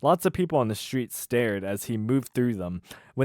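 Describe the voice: Here we have plain reading aloud. The passage is read straight through in that manner.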